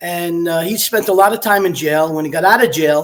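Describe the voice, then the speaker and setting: With an American accent, a man speaks at a high pitch using ordinary pitch variation. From Brooklyn, New York City. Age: 60s. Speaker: retired police detective. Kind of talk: interview.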